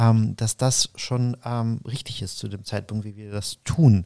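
Dark, mellow tone from a man at medium pitch, fairly even in intonation and fairly slow in pace, in a dry, close sound with no echo. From Ukraine. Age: 40s. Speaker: interview guest. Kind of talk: interview. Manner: halting, many fillers.

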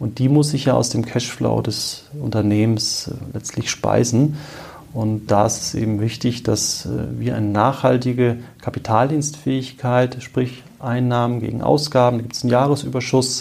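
Noticeable background noise surrounds a man speaking at a moderate pace. His pitch is medium and his intonation fairly even. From Marburg, Hesse, Germany. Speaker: bank advisor. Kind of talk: expert interview. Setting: in person, Marburg. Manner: hesitant with filler sounds.

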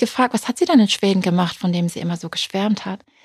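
A woman's somewhat breathy voice with ordinary pitch variation, dry and close with no echo, on a very clean recording with a silent background. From Britain. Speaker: funeral speaker and journalist. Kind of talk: interview conversation.

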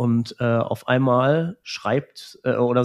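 Here a man talks in a plain, everyday voice at a medium pitch with ordinary pitch variation. The background is quiet. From Romania (Transylvania), raised in Germany. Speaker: music school director. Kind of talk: personal testimony in conversation.

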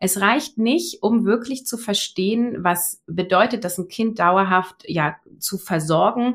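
A woman speaks very slowly at a medium pitch, her intonation lively, in a very clean recording with a silent background. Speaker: online business coach, former agile coach. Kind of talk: interview conversation. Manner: clear, trained-sounding speech.

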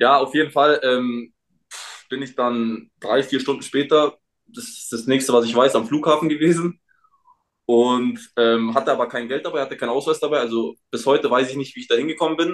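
At a moderate pace, a man speaks in an ordinary speaking voice with a fairly high pitch, ordinary pitch variation and big swings in loudness. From Munich, Bavaria. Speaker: professional footballer. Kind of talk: casual chat. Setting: remote call from home.

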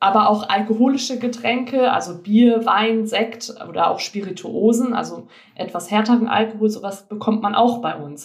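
A normal speaking voice at a moderate pace. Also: woman, fairly high pitch for a woman, ordinary pitch variation. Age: 20s. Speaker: organic shop owner. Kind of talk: interview.

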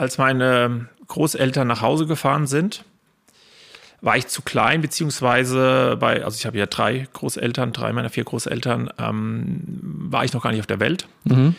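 Speaking at a fairly slow pace, a man with a medium pitch and ordinary pitch variation lets vocal fry creep into his voice. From Spessart, Lower Franconia/Hesse border region, Germany. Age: 30s. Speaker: local history guide and business owner. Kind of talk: podcast interview.

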